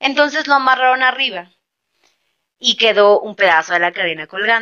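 There are very wide swings in this woman's pitch. She keeps a moderate pace. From Mexico City. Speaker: podcast host. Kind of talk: casual chat. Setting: late-night recording.

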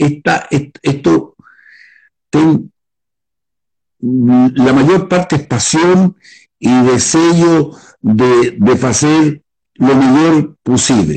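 The speaker talks at a very slow pace with long, frequent pauses and ordinary pitch variation. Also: man, fairly high pitch for a man, very even loudness. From Chile. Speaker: winemaker. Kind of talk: casual interview.

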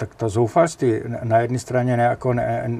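A man at medium pitch, speaking at a moderate pace. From Czechia, northern Moravia (Jeseník). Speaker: architectural photographer. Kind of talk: interview. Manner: energetic; halting, with repetitions.

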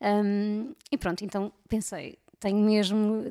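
The recording is very clean with a silent background and a dry, close sound with no echo, as a woman speaks with a fairly high pitch and a dark, mellow tone. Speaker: podcast co-host. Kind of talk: casual chat.

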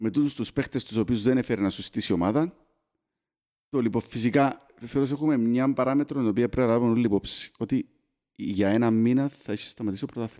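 A man with a Cypriot accent, medium pitch and a dark, mellow tone, fairly quick pace and ordinary pitch variation, on a very clean, dry, close recording with a silent background and no echo. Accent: Cypriot Greek. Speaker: football podcast host. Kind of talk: casual chat.

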